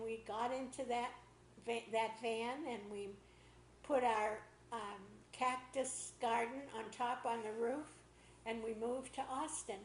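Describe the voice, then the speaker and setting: Over audible room echo, a woman speaks at a fairly slow pace in a fairly high, monotone, flat voice, leaving long, frequent pauses. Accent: American. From Boston area, Massachusetts. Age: 80s+. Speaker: interviewee telling life story. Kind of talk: oral history interview.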